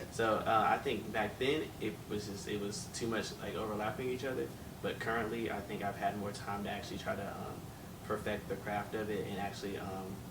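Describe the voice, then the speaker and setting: A man with an American accent talks at a fairly quick pace in a fairly low voice with fairly even intonation, with noticeable background noise and audible room echo. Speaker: R&B singer. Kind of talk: interview. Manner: casual, hesitant with many fillers.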